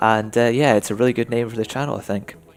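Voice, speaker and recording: A man of medium pitch with a Scottish accent. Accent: soft Scottish. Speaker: gaming and racing YouTuber. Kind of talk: Q&A video monologue. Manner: casual, hesitant with fillers.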